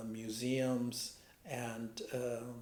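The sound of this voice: This man has an American accent and a medium-pitched voice. His tone is slightly mellow.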